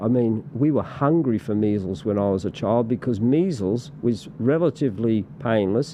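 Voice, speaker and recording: A man with an Australian accent speaks at a medium pitch and a moderate pace, with very even loudness, hardly any pauses, and noticeable background noise. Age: 60s. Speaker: political party representative. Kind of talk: casual interview chat. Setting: podcast studio. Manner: halting, many repetitions and fillers.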